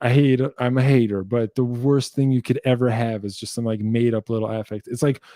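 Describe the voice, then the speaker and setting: With a New Jersey accent, a man talks at a fairly quick pace with hardly any pauses. His tone is dark and mellow, and the sound is dry and close with no echo. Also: medium pitch for a man. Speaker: guitar teacher and musician hosting a Q&A livestream. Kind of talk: casual livestream Q&A. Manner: animated.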